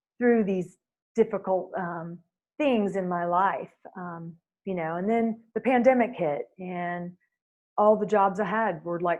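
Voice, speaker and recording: This woman talks at a fairly slow pace. Her pitch sits in the medium range, with ordinary variation. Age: 60s. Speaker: fitness instructor. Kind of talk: interview. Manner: hesitant, many fillers.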